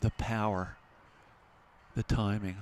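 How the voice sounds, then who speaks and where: A man speaks with a fairly low pitch and monotone, flat intonation in a dry, close sound with no echo. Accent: American. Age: 60s. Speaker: rowing commentator. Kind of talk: live commentary.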